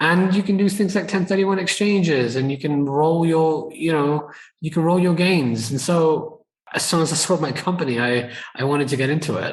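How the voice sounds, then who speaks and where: A man's fairly high voice in a British accent, at a moderate pace. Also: ordinary pitch variation. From UK. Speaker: entrepreneur and investor. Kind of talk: podcast interview.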